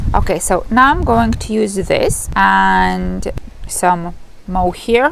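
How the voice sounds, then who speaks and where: Heard through audible room echo and noticeable background noise, a woman with a Lithuanian accent speaks at a very slow pace. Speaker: knitting vlogger. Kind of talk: casual vlog. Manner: halting.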